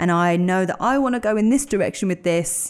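Speaking at a fairly quick pace with a London accent, a woman with a fairly low pitch uses lively intonation on a very clean recording with a silent background. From North London (Edmonton). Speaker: breakfast radio presenter. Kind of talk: casual interview chat.

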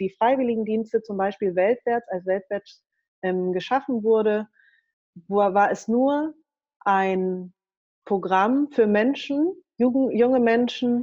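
A woman speaks very slowly with long, frequent pauses, her fairly high voice showing ordinary pitch variation. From Germany. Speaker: political education worker and author. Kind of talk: interview.

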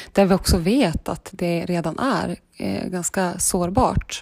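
Her voice sits at a fairly low pitch, with fairly even intonation. The woman speaks at a very slow pace. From northern Sweden, Vilhelmina (Lapland). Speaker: fly-fishing enthusiast and lawyer. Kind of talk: casual interview. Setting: friend's apartment, in person.

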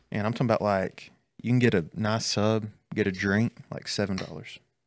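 Fairly low in pitch, a man speaks with a Southern US accent at a moderate pace. His intonation is fairly even, on a very clean recording with a silent background. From Alabama (north of Birmingham). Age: 20s. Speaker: student ministry pastor. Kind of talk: casual chat. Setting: studio.

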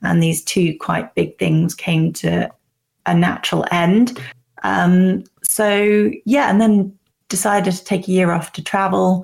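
At a very slow pace, a woman speaks in a somewhat breathy voice of medium pitch with ordinary pitch variation. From Cornwall, southwest England. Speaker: dating app founder. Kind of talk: interview.

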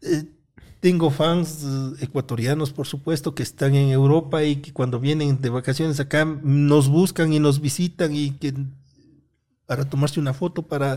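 Somewhat breathy with a dark, mellow tone, this voice keeps fairly even intonation at a moderate pace on a very clean recording with a silent background. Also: man. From Ecuador, Cotopaxi (Latacunga). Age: 50s. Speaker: electrical engineer and content creator. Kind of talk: casual interview chat.

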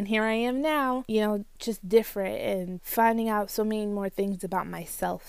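A woman with an American accent speaks in a normal speaking voice at a medium pitch, her intonation fairly even, on a very clean recording with a silent background. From Florida (Port Saint Lucie). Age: 20s. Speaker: anime podcast host. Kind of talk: casual chat.

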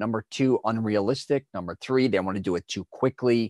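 In a dry, close recording with no echo and a very clean, silent background, a man talks at a fairly quick pace with medium pitch, ordinary pitch variation and an unremarkable speaking voice. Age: 50s. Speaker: image consultant. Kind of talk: casual chat.

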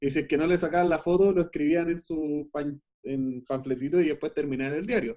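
A man with a Chilean accent has a dark, mellow tone and a fairly high pitch. He talks at a fairly quick pace. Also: ordinary pitch variation. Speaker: film editor. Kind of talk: casual chat. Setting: remote call.

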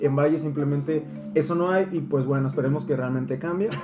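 Speaking at a very fast pace with a Mexican accent, a man uses a fairly high voice. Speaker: medical student podcast co-host. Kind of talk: casual chat.

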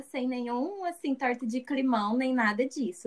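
A woman with a high pitch is speaking. Her pace is fairly slow. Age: 20s. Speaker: business graduate. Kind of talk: casual chat.

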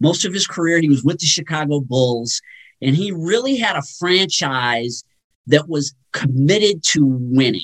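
A somewhat breathy male voice, fairly high for a man, with lively intonation and a fairly slow pace. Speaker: sports talk guest. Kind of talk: radio interview, sports talk. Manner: conversational, thoughtful, some filler words.

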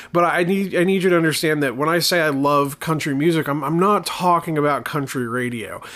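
An Appalachian accent at a moderate pace, bright and sharp in tone, with ordinary pitch variation. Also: man. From southern West Virginia, near Kentucky border. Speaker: podcast host, horror movie reviewer. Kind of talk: casual solo podcast monologue. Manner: halting, many repetitions and fillers.

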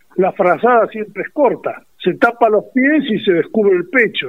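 A man's lively intonation carries his speech along at a moderate pace. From Azul, Buenos Aires province, Argentina. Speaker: retired army officer, war veteran. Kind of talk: interview testimony. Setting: phone call.

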